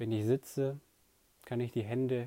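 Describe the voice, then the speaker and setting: A man's medium-pitched voice, dark, mellow, gentle and calm, with fairly even intonation. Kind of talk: guided meditation. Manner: slow, calm, soft-spoken; gentle, unhurried, with long pauses.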